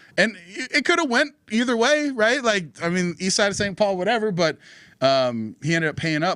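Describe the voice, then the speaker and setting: An animated man at a fairly quick pace, very wide pitch swings, and a very clean recording with a silent background. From North Dakota. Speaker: political podcast co-host. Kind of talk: casual chat.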